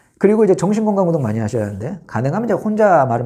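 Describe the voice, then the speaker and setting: A man races along at a very fast pace with very wide pitch swings, vocal fry, and a dark, mellow tone. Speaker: vlogger. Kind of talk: casual monologue.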